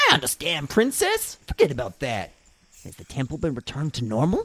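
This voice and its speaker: A put-on character voice at a low-to-middle pitch and a fairly quick pace. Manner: gruff, serious.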